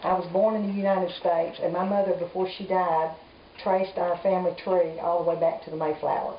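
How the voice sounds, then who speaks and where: A woman's fairly low, monotone, flat voice with audible room echo and noticeable background noise. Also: fairly quick pace. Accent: Southern US. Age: 60s. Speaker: grandmother interviewed by grandchild. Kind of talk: family oral history interview.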